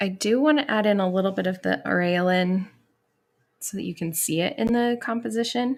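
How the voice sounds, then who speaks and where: With an unremarkable speaking voice, a woman talks at a fairly quick pace and medium pitch, showing ordinary pitch variation. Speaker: watercolor artist and teacher. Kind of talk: painting tutorial. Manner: casual.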